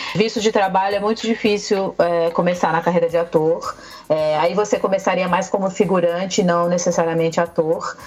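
Over music in the background, a woman talks at a moderate pace with medium pitch, fairly even intonation and very even loudness. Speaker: Brazilian content creator living in Canada. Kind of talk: casual chat.

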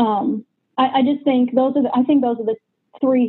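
A woman speaks at a moderate pace. Her pitch is high. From New Hampshire, US. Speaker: K-1 visa plaintiff. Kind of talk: casual interview.

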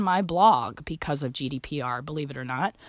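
At a fairly slow pace, the voice sounds animated and swings very widely in pitch. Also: woman. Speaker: podcast host in pharmacy and healthcare. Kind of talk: solo podcast monologue.

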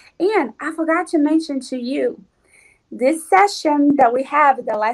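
In a Portuguese accent, a woman with a high pitch speaks at a fairly slow pace with lively intonation. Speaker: physical medium. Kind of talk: casual interview.

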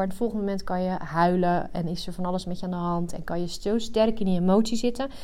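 Amid audible room echo, a woman speaks at a fairly quick pace with fairly even intonation. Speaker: coach for highly sensitive women. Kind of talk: solo podcast monologue. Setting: rented work room.

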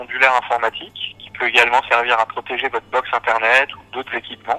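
A man speaks very fast at medium pitch, in a bright, sharp tone. His intonation is monotone and flat, and the sound is dry and close with no echo. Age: 30s. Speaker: engineer and home automation company founder. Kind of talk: interview.

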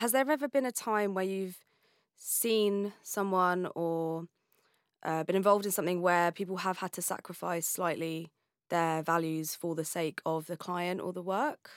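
At a moderate pace, an unremarkable speaking voice with ordinary pitch variation comes through a very clean, silent recording with a dry, close sound and no echo. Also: woman, medium pitch for a woman. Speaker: podcast host. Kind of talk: interview, podcast conversation.

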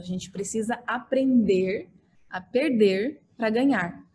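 This woman's fairly high voice is dark and mellow in tone, somewhat breathy, with ordinary pitch variation. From Brazil, Mato Grosso do Sul (Dourados). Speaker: architect and social media influencer. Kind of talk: podcast interview. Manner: animated.

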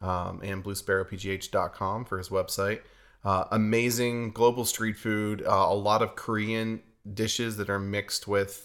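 In an American accent, a man speaks in a fairly low voice. His delivery is fairly slow, with monotone, flat intonation. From western Pennsylvania. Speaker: podcast host, church creative coordinator. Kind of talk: casual chat.

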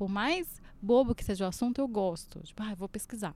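Speaking at a moderate pace with ordinary pitch variation, a woman with a Brazilian accent is heard on a very clean recording with a silent background. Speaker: podcast host. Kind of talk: casual chat.

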